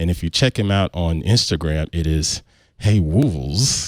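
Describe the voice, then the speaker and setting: The voice, with a Southern US accent, comes through dry and close with no echo. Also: man. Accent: southern drawl. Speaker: podcast host. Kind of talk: podcast intro and casual chat.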